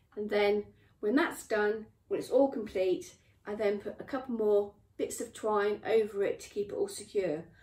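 The woman's tone is dark and mellow, with ordinary pitch variation at a moderate pace. Audible room echo surrounds her voice. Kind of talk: tutorial. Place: workshop. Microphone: camera far.

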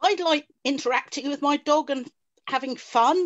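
A woman with very wide pitch swings, against a quiet background. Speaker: dog training student. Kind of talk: casual chat. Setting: video call. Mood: self-deprecating, good-humoured. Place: home room. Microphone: video call.

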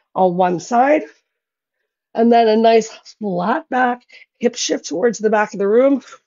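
Vocal fry runs through a woman's voice, heard over a quiet background. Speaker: fitness instructor. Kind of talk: workout instruction. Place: home room.

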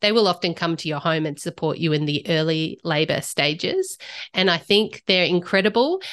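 A woman with an unremarkable speaking voice talks at a moderate pace and fairly low pitch, with ordinary pitch variation against a quiet background. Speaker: guest. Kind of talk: interview answer. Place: home room. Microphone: studio mic.

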